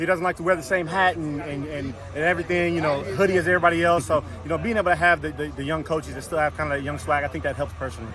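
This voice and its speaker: This man talks very fast at a fairly high pitch with fairly even intonation, over noticeable background noise. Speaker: college football offensive lineman. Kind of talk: press interview.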